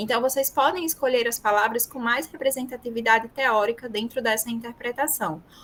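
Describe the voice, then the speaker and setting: The woman's voice is high in pitch. She keeps a moderate pace. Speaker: university professor and research methods speaker. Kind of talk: online lecture.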